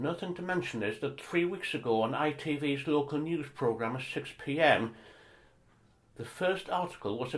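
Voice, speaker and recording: His pitch moves in an ordinary way as this man talks at a moderate speed. There's a somewhat breathy quality to it. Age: 60s. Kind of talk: personal testimony talk. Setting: training session. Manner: somewhat staccato.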